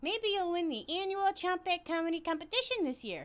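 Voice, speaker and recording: Putting on a squeaky, playful character voice, a woman speaks fairly quickly at an extremely high pitch with lively intonation. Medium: game stream. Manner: playful, jokey.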